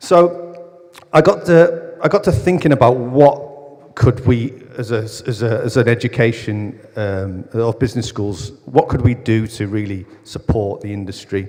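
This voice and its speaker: A man's medium-pitched voice at a fairly slow pace, with lively intonation and hardly any pauses. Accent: northern English. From northern England. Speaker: academic researcher in football business. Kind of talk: conference talk.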